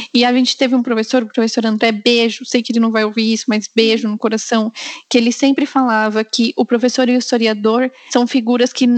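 At a fairly quick pace, a woman speaks in a high pitch with flat, monotone intonation. Her loudness stays very even, and the sound is dry and close with no echo. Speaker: podcast host. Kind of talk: casual chat.

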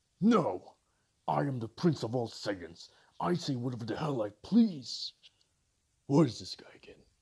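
Using a put-on character voice at a medium pitch, a man speaks with long, frequent pauses. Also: moderate pace. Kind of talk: comic parody voice acting. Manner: arrogant, bossy, easily irritated.

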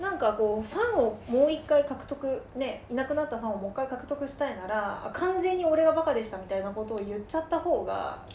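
With a high pitch, very wide pitch swings and hardly any pauses, a woman talks at a fairly quick pace amid noticeable background noise and audible room echo. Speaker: podcast co-host. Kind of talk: casual chat.

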